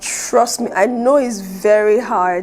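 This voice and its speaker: Over music in the background, a woman talks with a fairly high pitch. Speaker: aspiring public speaker. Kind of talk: casual talk to camera.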